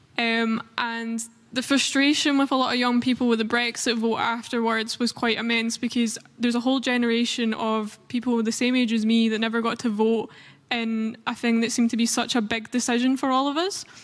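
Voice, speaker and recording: Speaking at a fairly quick pace with a Scottish accent, a woman with a fairly high pitch keeps a monotone, flat intonation and very even loudness. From Scotland. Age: 20s. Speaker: youth activist. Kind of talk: panel discussion.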